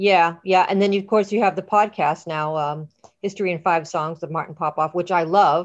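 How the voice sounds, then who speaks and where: At a moderate pace, a woman with a plain, everyday voice speaks at a fairly low pitch with fairly even intonation. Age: 50s. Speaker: podcast host. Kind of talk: casual interview chat. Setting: online call.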